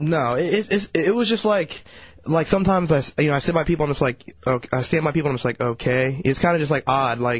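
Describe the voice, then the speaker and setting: At a very fast pace, a man with a fairly high pitch and a somewhat breathy voice talks with lively intonation and very even loudness. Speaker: radio intern. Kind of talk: casual chat. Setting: studio.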